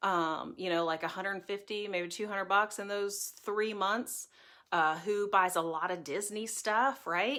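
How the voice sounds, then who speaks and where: A woman speaks at a fairly slow pace and medium pitch, bright and sharp in tone with ordinary pitch variation, on a very clean recording with a silent background. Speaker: direct sales team leader. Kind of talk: live stream team training chat. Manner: animated.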